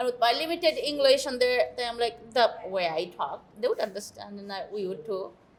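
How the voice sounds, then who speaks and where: A woman's fairly high, lively voice at a fairly quick pace with hardly any pauses, over noticeable background noise. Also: big swings in loudness. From Bangladesh, village near Barishal. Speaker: political candidate and community activist. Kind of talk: interview.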